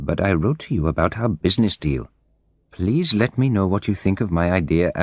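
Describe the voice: Someone reads aloud plainly, and the intonation moves in a lively way.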